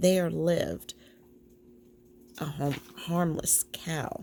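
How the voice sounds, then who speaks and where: A woman speaks very slowly. Her voice is soft-spoken. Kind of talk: soft-spoken bedtime story reading. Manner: soft-spoken, slow.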